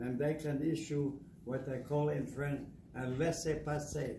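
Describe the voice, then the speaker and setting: Heard through audible room echo and noticeable background noise, a man speaks at a fairly high pitch. His intonation is fairly even and his pace fairly slow. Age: 80s+. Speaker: Holocaust survivor and war veteran. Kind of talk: testimony. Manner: halting.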